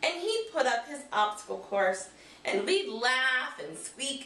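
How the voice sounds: This clip features a natural reading voice.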